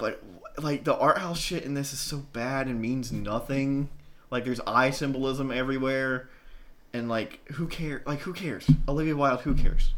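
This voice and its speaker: Speaking at a moderate pace, a man with an unremarkable speaking voice keeps a fairly high pitch and fairly even intonation. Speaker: podcast co-host. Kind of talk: casual chat.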